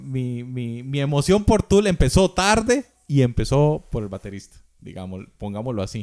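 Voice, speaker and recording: A man with a Costa Rican accent speaks in a dark, mellow tone at a fairly high pitch. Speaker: drummer. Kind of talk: casual chat.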